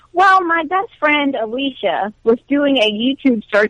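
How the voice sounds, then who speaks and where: A woman talks with an American accent and lively intonation at a moderate pace. The sound is dry and close, with no echo. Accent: southern, strong at times. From Alabama, US South. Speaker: lifestyle expert and YouTuber. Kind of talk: interview.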